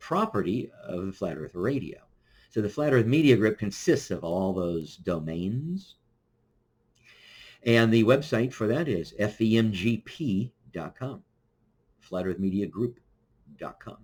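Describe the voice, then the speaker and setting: Speaking with an American accent, a man uses a fairly low pitch. His pace is fairly slow, with long, frequent pauses. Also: lively intonation. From US Midwest, Kansas City Missouri. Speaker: podcast host. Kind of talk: solo livestream monologue. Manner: halting, many fillers.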